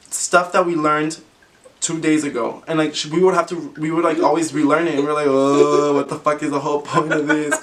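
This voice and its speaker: A man's fairly high-pitched voice at a fairly quick pace, over noticeable background noise. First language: Spanish. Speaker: YouTuber. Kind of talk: casual chat. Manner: animated.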